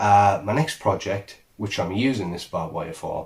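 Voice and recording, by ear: A man speaks low and fairly slowly, with ordinary pitch variation. His voice has vocal fry and a husky, rough edge.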